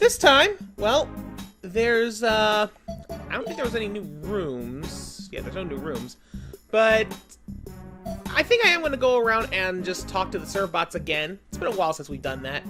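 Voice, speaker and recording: Music plays in the background as the speaker pauses long and often. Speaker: let's play gamer. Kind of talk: casual gameplay commentary.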